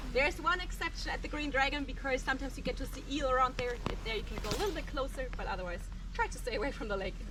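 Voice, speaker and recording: In a German accent, a woman talks at a very fast pace in a raised, projected voice with a high pitch and very wide pitch swings, over audible room echo and noticeable background noise. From Germany. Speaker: tour guide. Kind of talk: guided tour talk.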